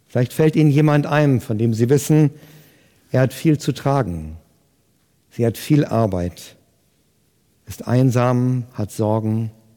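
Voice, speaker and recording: A man's dark, mellow voice at medium pitch, very slow in pace, with lively intonation. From Germany, Hesse (Fulda). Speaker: pastor. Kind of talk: sermon.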